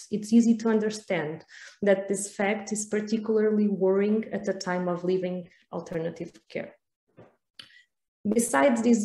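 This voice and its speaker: A woman with a Portuguese accent, a dark, mellow tone, medium pitch, fairly even intonation and a moderate pace. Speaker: researcher. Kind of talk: conference presentation.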